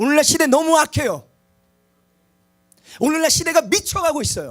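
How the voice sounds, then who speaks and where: This man speaks loudly. His pitch is extremely high. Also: ordinary pitch variation, moderate pace. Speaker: preacher. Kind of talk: sermon.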